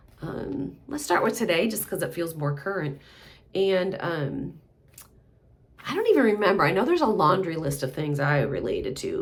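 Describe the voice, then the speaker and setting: There is audible room echo as a woman speaks at a moderate pace in a somewhat breathy voice. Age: 60s. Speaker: mental health practitioner. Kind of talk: casual monologue. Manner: halting.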